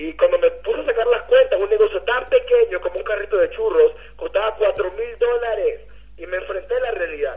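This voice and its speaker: At a moderate pace, a man speaks. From Venezuela. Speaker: network marketing leader. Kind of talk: motivational testimony.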